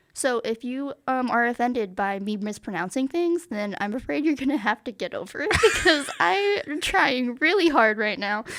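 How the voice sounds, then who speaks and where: With a high pitch and very wide pitch swings, a woman talks at a moderate pace, hardly pausing at all. Noticeable background noise is present. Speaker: podcast co-host. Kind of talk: casual chat. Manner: animated.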